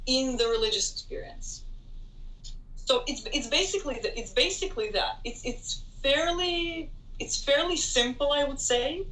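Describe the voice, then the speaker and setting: The voice has a bright, sharp tone and very wide pitch swings at a moderate pace. Room echo is audible. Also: woman, extremely high pitch for a woman. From Israel, Tel Aviv. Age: 20s. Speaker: international student. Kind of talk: interview.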